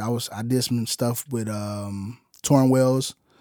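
Here a man with a normal speaking voice talks at a fairly slow pace and medium pitch. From Chicago. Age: 30s. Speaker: musician and music producer. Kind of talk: casual interview chat.

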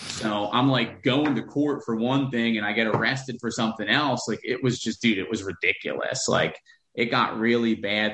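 A man's medium-pitched voice with an American accent, fairly even intonation and a moderate pace. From Pennsylvania, rural Greater Philadelphia area. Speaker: real estate investor. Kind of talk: casual interview. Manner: long-winded, many fillers.

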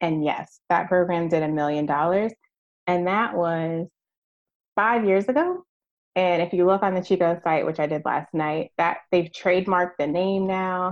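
This woman has an ordinary speaking voice with a fairly low pitch. She talks at a moderate pace with ordinary pitch variation. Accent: American. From Virginia, US. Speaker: merchandising strategist. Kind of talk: interview.

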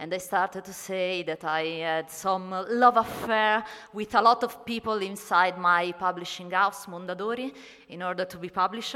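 With an Italian accent, this voice moves at a moderate pace in fairly even intonation. Its loudness swings widely. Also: woman, medium pitch for a woman. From Italy. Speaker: astronomer and writer. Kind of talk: panel talk at a convention. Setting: convention stage panel. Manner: hesitant, non-native English.

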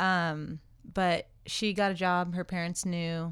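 Over a silent background in a very clean recording, a woman with a fairly low voice speaks fairly slowly in a flat monotone. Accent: American. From California. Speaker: skydiving instructor. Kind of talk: casual chat. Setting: studio.

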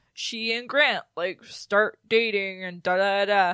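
A woman performs a put-on character voice at a medium pitch. The recording is very clean with a silent background and a dry, close sound with no echo. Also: fairly slow pace. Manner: silly, exaggerated, girly.

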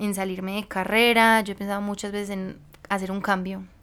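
Her pitch is fairly high and her pace fairly quick. The woman speaks with monotone, flat intonation. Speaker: podcast host. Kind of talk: casual chat.

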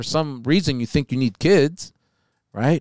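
Heard in a dry, close sound with no echo, a man speaks at a moderate pace with a medium pitch. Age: 40s. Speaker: podcast host, business owner. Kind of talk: casual chat.

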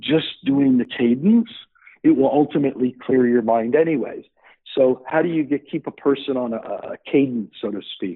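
A normal speaking voice in a Canadian accent, at a moderate pace with ordinary pitch variation. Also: man, fairly high pitch for a man. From Canada, Hamilton, Ontario. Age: 50s. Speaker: startup founder. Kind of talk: interview.

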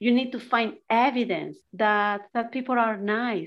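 This woman's fairly high voice moves at a fairly slow pace with fairly even intonation. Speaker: transformational coach. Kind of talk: interview.

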